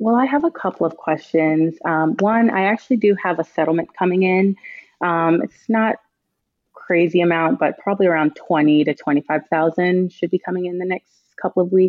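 At a fairly quick pace, a woman with a fairly low pitch speaks in a plain, everyday voice with ordinary pitch variation. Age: 20s. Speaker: caller. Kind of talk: call-in advice conversation. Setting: phone call.

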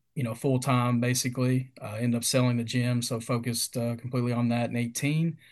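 A man with a Kentucky accent over a quiet background. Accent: Kentucky Southern US. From Kentucky, US. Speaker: retail field sales representative. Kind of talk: casual interview.

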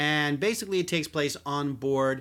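A man's normal speaking voice, fairly high in pitch with ordinary pitch variation, at a moderate pace, in a very clean recording with a silent background. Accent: American. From Philadelphia. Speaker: podcast host, magazine writer. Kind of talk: casual chat.

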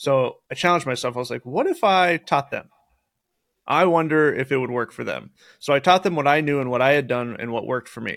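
A man talks at a fairly quick pace in an ordinary speaking voice, his pitch fairly high with ordinary variation. The recording is very clean, with a silent background. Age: 30s. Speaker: real estate investor. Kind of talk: casual chat.

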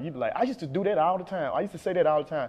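Lively intonation from a man with a Mississippi accent. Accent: US South, Mississippi. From Jackson, Mississippi. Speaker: rapper. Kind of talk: interview.

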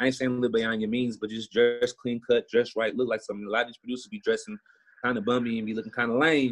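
A man speaks with an American accent at a medium pitch. He goes at a very fast pace with fairly even intonation. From Houston, Texas. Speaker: music producer. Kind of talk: casual interview. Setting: video call.

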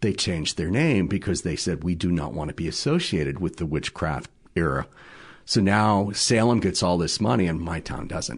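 A man with an American accent speaks at a moderate pace in a very deep, low pitch with vocal fry. His intonation is lively, and the background is quiet. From Massachusetts North Shore. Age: 60s. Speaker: television producer. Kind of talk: casual chat.

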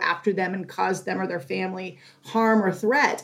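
A woman with an American accent and a normal speaking voice, fairly quick pace and ordinary pitch variation. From Northern California. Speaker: zoo animal care supervisor. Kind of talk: interview, explaining to kids.

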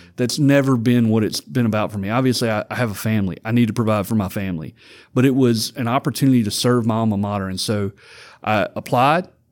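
A man with a Louisiana accent talks at a very fast pace. His pitch varies in an ordinary way. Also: medium pitch for a man, very clean recording, silent background. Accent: US Southern (Louisiana). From Louisiana (Vidalia). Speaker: university student activities director. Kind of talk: interview.

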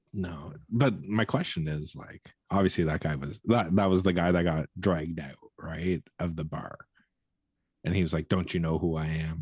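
A man with a Canadian accent, very deep and low in pitch, at a moderate pace with ordinary pitch variation. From Canada. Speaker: podcast co-host. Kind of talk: casual chat.

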